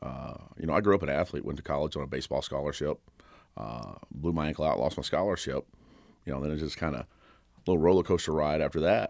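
In a very clean recording with a silent background, a man with an American accent, a very deep, low pitch and vocal fry talks very fast with ordinary pitch variation and long, frequent pauses. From Kentucky. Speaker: personal trainer and gym owner. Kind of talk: interview. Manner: loud; energetic.

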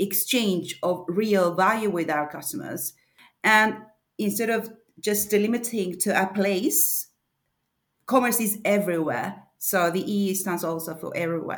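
At a fairly slow pace, a woman with a Spanish accent talks at a medium pitch with ordinary pitch variation. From Argentina. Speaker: e-commerce advisor. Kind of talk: interview. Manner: halting.

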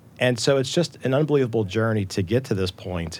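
A man's fairly low, plain, everyday voice at a fairly quick pace. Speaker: healthcare tech executive. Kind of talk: panel discussion.

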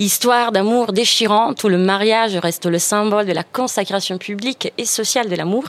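Against noticeable background noise, a woman with a fairly high pitch talks fairly quickly with hardly any pauses, fairly even intonation and very even loudness. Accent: Italian. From Italy. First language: Italian (speaking French). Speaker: radio panelist. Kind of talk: casual chat.

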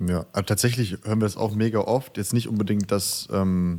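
Speaking at a fairly quick pace, a man with a fairly low pitch has an ordinary speaking voice and fairly even intonation. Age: 20s. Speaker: videographer, company co-founder. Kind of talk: casual interview chat. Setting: remote recording.

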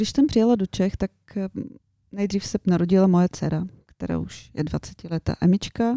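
A woman speaks at a moderate pace and medium pitch with ordinary pitch variation. Her tone is dark and mellow, and the sound is dry and close with no echo. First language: Bulgarian (speaking Czech). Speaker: interior designer. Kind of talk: radio interview.

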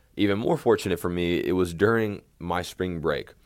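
An American accent from a man, moderate pace and ordinary pitch variation, on a very clean recording with a silent background. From Texas, Tyler. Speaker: college basketball coach, podcast host. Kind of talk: solo podcast monologue, personal story.

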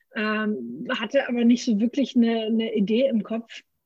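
A woman speaks with a somewhat breathy, dark, mellow tone at a fairly high pitch. The sound is dry and close, with no echo. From Franconia, Germany. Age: 30s. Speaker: brewery founder. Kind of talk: interview. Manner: many filler sounds.

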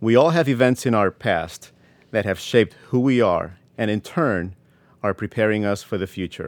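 Recorded very cleanly with a silent background and a dry, close sound with no echo, a man with a Spanish accent talks at a moderate pace and a fairly low pitch with lively intonation. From Puerto Rico. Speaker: language professor and army veteran. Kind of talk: keynote speech, prepared remarks. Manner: formal.

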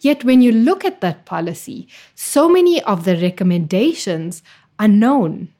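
With very wide pitch swings, the voice has a dark, mellow tone and is somewhat breathy, in a very clean recording with a silent background. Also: woman, fairly high pitch for a woman, moderate pace. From South Africa, East Rand near Johannesburg. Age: young. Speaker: public health researcher. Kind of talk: interview. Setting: recorded in Cape Town.

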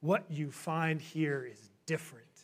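Using a put-on character voice, a man booms at a fairly slow pace, his pitch fairly high and his intonation fairly even. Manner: booming, grand.

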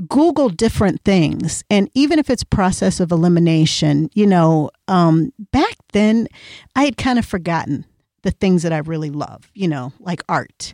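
A woman with an unremarkable speaking voice and an American accent talks at a moderate pace and fairly low pitch, with lively intonation. The recording is very clean and dry, close, with no echo and a silent background. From Iowa. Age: 50s. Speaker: podcast co-host, author and entrepreneur. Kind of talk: casual chat.

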